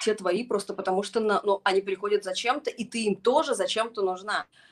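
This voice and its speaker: A woman talks at a very fast pace with a fairly high pitch. The sound is dry and close, with no echo. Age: 40s. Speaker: psychologist and educator. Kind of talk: casual chat.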